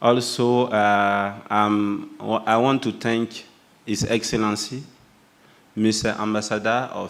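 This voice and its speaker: A man with a French accent speaks at a very slow pace. His fairly low voice keeps a monotone, flat intonation. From Burkina Faso. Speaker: youth union representative. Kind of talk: speech at opening ceremony. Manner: halting.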